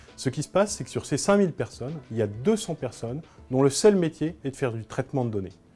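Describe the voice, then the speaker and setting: Music plays in the background as a man with a medium pitch talks at a very fast pace, his voice making very wide pitch swings. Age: 30s. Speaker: blogger and communications agency director. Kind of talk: conference talk.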